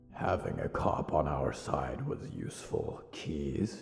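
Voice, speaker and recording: A man growls in a put-on character voice at a fairly slow pace, with clear background noise behind him. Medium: audio drama. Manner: measured, practical.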